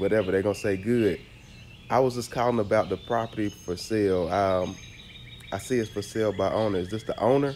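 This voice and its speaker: A man's calm, fairly low-pitched voice at a fairly quick pace, fairly even in intonation, over light background noise. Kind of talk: tutorial. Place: garden. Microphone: phone near.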